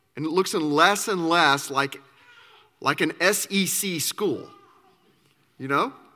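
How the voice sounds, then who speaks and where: Slow-paced and high-pitched, a man speaks in a bright, sharp tone. He leaves long, frequent pauses and uses ordinary pitch variation. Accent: Southern US. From Arkansas. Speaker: campus minister. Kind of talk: sermon.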